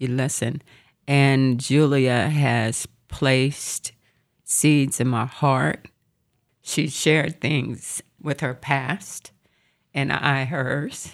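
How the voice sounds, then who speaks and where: At a very slow pace with long, frequent pauses, the speech has monotone, flat intonation in a very clean recording with a silent background. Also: woman, very deep, low pitch for a woman. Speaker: banker and nonprofit founder. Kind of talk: casual chat.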